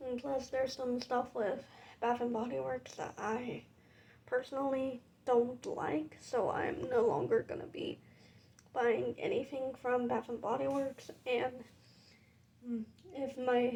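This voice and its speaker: A woman's high-pitched voice with a dark, mellow tone, ordinary pitch variation, a fairly slow pace and long, frequent pauses. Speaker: collector vlogger. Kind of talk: casual vlog monologue. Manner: casual, unscripted.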